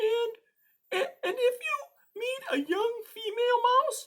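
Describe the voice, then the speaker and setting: A put-on character voice with an extremely high pitch moves at a fairly slow pace. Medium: read story. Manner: soft, worried.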